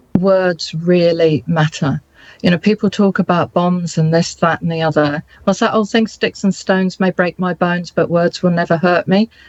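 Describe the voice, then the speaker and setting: In a dry, close sound with no echo and a quiet background, a woman with a fairly low pitch speaks at a moderate pace with a passionate tone, very even loudness and fairly even intonation. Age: 60s. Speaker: interviewee, businesswoman. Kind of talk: interview.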